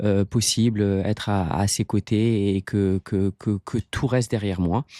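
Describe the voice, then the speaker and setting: In a very clean recording with a silent background and a dry, close sound with no echo, a man speaks at a fairly slow pace in a dark, mellow tone, his fairly low pitch following fairly even intonation at very even loudness. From Morocco (Casablanca), Italian family. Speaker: sports coach, marathon runner. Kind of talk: interview answer. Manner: hesitant, many fillers and repetitions.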